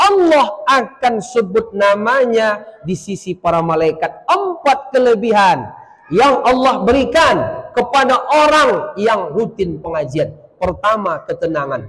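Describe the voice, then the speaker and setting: Speaking very slowly, a man with an extremely high pitch makes very wide pitch swings. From coastal Aceh, near Medan. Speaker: Islamic preacher. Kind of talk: sermon. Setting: stage with audience. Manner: halting in Minang.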